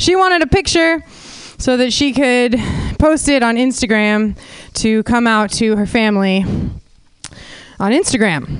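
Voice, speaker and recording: A woman with an American accent and an unremarkable speaking voice talks at a fairly slow pace with lively intonation. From California (Santa Cruz). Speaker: comedian. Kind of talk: stand-up. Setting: stage with audience.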